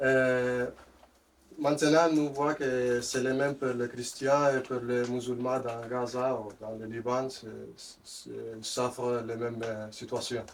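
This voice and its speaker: A man's medium-pitched voice, monotone and flat, at a very slow pace with a non-native accent. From Western Sahara. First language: not French (speaking French). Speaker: audience member. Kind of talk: audience question. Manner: halting.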